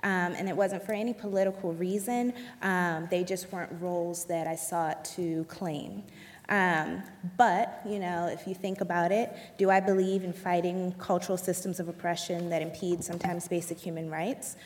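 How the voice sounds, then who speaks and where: A woman with an unremarkable speaking voice talks at a fairly low pitch and a moderate pace, using fairly even intonation. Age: 20s. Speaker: dancer and choreographer. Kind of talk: panel discussion.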